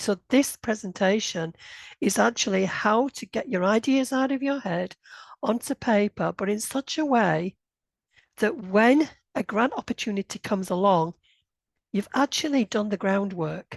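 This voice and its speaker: Speaking with a northern English accent, a woman with fairly high pitch uses lively intonation at a moderate pace in a dry, close recording with no echo. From northern England, Bradford, Yorkshire. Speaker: grant writing consultant. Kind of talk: webinar presentation. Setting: online session. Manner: hesitant, with many fillers.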